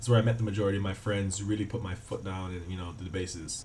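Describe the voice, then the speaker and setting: A man speaks in a dark, mellow tone that is somewhat breathy. Audible room echo surrounds his voice. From Cayman Islands. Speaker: travel vlogger and student. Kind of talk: casual vlog talk to camera. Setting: student flat. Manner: casual, with many fillers.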